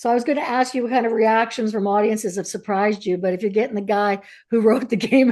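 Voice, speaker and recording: In a Canadian accent, a woman talks at a fairly quick pace with a dark, mellow tone against a quiet background. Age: 60s. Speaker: author and interviewer. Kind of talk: interview conversation.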